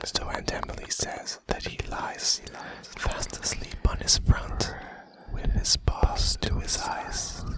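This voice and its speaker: Noticeable background noise accompanies a fairly slow whisper. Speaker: ASMR artist. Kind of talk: poetry reading. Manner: whispered, soft-spoken.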